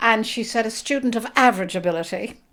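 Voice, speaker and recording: With an Irish accent, a woman talks at a fairly quick pace in a high voice with ordinary pitch variation, on a very clean recording with a silent background. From Ireland, Dublin. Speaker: author. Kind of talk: interview.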